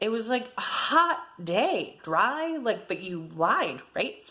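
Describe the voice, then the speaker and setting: A loud woman speaks in a fairly high pitch with very wide pitch swings and an animated tone. Noticeable background noise sits behind her. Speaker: personal vlogger sharing abuse experience. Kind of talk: personal testimony vlog.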